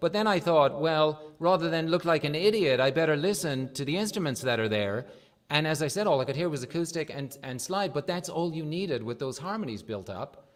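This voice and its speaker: Lively in intonation, a man with an Irish accent speaks at a moderate pace in a fairly high pitch. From Ireland. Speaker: livestream music show host. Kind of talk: casual interview.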